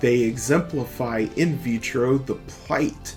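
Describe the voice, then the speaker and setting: Over music in the background, a man with an American accent talks at a very slow pace in a medium-pitched voice with ordinary pitch variation. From United States. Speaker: podcast host. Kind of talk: political essay reading.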